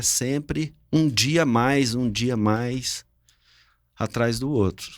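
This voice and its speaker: A man speaks at a medium pitch and a very slow pace, with ordinary pitch variation. The recording is very clean, with a silent background. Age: 60s. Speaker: business owner. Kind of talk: family podcast conversation.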